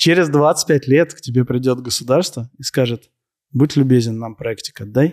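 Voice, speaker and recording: In a dry, close sound with no echo, a man with a normal speaking voice talks at a moderate pace and medium pitch with ordinary pitch variation. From Moscow, Russia. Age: 30s. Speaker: entrepreneur in waste sorting. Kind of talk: interview on stage before audience.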